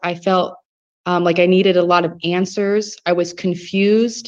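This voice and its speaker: At a fairly slow pace, a woman with an American accent speaks at medium pitch in a monotone, flat intonation. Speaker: grassroots campaign organizer. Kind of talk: testimony. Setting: video call.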